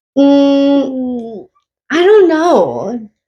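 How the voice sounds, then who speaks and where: Woman's high voice in an American accent. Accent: Long Island accent, stronger when angry. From Long Island, New York. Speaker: podcast co-host. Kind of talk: casual chat.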